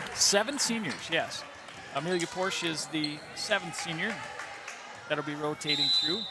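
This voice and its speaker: This man's voice is high in pitch, with ordinary pitch variation. He leaves long, frequent pauses over noticeable background noise. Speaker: volleyball play-by-play announcer. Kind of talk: live sports commentary. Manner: loud; animated.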